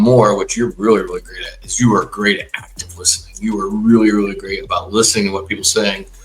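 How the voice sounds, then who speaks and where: Music plays in the background. A man speaks over it at a very fast pace. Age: 60s. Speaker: podcast host and corporate coach. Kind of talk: casual chat. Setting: studio.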